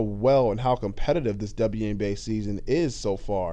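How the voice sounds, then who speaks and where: A man talks in a dark, mellow tone. Audible room echo surrounds his voice. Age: 20s. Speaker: basketball podcast host. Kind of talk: solo podcast commentary. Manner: casual, with many fillers.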